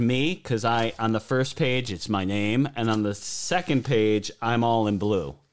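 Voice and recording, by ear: With a clear, smooth, slightly mellow tone, a man speaks at a medium pitch with ordinary pitch variation and few pauses.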